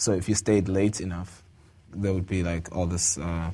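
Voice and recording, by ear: A man with a South African accent speaks in a low pitch with a dark, mellow tone and little pitch movement. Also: moderate pace.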